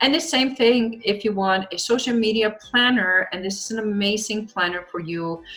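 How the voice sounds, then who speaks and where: Speaking with a non-native accent, a woman talks with hardly any pauses. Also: fairly high pitch for a woman, ordinary pitch variation, moderate pace. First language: not English. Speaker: social media marketing coach. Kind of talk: online training video.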